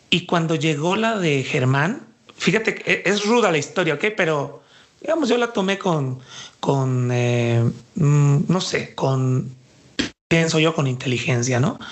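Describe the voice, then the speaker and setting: There is noticeable background noise as a man speaks at a fairly slow pace with a fairly high pitch. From Mexico, Jalisco. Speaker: dance artist and cultural manager. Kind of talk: interview.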